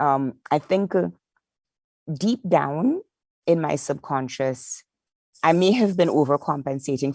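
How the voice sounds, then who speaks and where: A woman's very deep, low voice with a dark, mellow tone and lively intonation, at a fairly slow pace, in a dry, close sound with no echo and a quiet background. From Trinidad. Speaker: market insights lead at a streaming company. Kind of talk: podcast interview.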